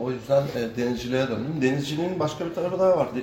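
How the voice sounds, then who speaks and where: Talking at a very fast pace, a man uses medium pitch and ordinary pitch variation. Noticeable background noise and audible room echo are present. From Kilitbahir, Çanakkale, Turkey. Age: 50s. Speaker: sailor. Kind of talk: casual interview.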